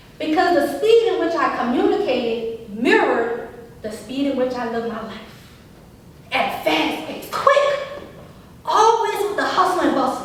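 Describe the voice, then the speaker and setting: A high-pitched woman speaks at a moderate pace in an animated tone, with very wide pitch swings, big swings in loudness and long, frequent pauses. The recording has audible room echo and noticeable background noise. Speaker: motivational speaker. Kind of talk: speech. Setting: stage with audience.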